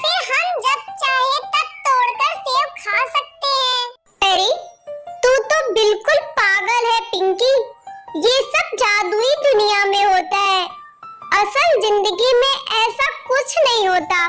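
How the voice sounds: Over loud background music, a cartoonish character voice talks at a very slow pace with an extremely high pitch.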